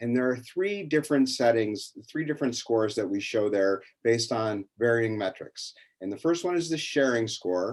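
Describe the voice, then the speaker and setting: Against a quiet background, a man talks with lively intonation. He has an ordinary speaking voice. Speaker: education company academic lead. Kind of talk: webinar tutorial.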